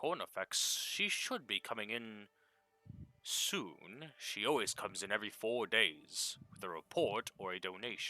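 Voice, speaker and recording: A man puts on a character voice. His pitch sits at a medium level. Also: moderate pace. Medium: actual play. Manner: confident, lecturing.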